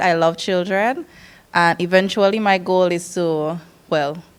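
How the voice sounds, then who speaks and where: A woman speaks with a slight Dominican accent. Her voice sits at a medium pitch. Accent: slight Dominican twang. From Sint Maarten, Dutch Quarter. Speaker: nurse and community council officer. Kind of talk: presentation at information session. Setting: evening information session with audience. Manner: animated.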